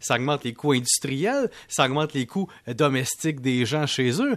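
A man's fairly high voice at a moderate pace, with a dry, close sound and no echo. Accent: Quebec. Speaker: economics columnist. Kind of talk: radio commentary segment.

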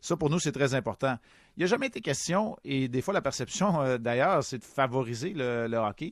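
A plain, everyday voice moves at a moderate pace with lively intonation. The background is quiet. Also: man, medium pitch for a man. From Quebec, Montreal. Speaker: hockey analyst, committee chair. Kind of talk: radio interview.

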